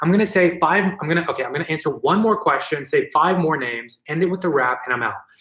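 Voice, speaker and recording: Amid noticeable background noise, a high-pitched man speaks at a very fast pace with hardly any pauses and ordinary pitch variation. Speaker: tech educator and YouTuber. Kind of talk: live stream Q&A. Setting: live stream. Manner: animated.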